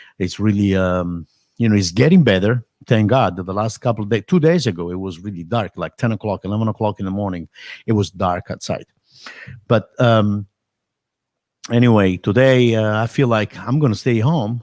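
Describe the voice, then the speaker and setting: On a very clean recording with a silent background, a man with an Italian accent talks at a moderate pace, his fairly low pitch showing ordinary variation. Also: dry, close sound with no echo. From Italy. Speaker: drummer and drum teacher. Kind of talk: casual live stream chat. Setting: home live stream. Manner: halting.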